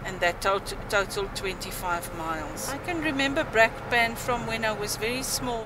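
A woman's fairly high voice at a moderate pace, with ordinary pitch variation, a dry sound with no echo, and noticeable background noise. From South Africa (Germiston, Gauteng). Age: 50s. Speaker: former teacher, church youth choir leader. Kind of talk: interview answer. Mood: reflective, recalling memories. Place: home room.

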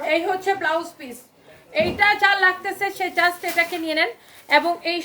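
A woman speaks in a raised, projected voice with ordinary pitch variation. Noticeable background noise runs underneath. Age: 30s. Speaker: clothing seller. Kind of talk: live sales pitch. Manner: animated.

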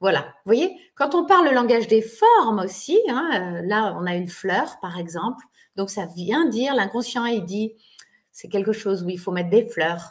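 Against a quiet background, a warm-toned voice moves at a fairly slow pace with big swings in loudness. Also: woman, fairly high pitch for a woman. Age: 40s. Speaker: online therapist and trainer; trainer. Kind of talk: webinar lecture to an online audience. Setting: video call webinar. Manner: warm, friendly, conversational. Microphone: webcam.

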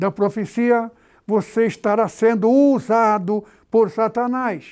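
A man's high-pitched voice at a very slow pace on a very clean recording with a silent background. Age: 80s+. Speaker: pastor. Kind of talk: sermon.

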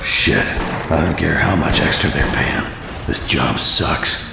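A man's put-on character voice, extremely low and slow, with vocal fry, ordinary pitch variation, audible room echo and clear background noise.

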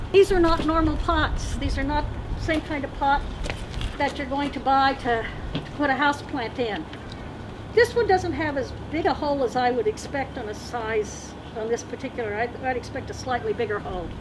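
At a moderate pace, a woman speaks in a high pitch with noticeable background noise. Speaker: workshop instructor. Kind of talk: lecture. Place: farm. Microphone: camera far.

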